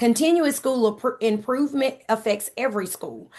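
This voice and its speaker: A woman uses a normal speaking voice, keeping a moderate pace and ordinary pitch variation. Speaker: university instructor. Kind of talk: online lecture. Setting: video call.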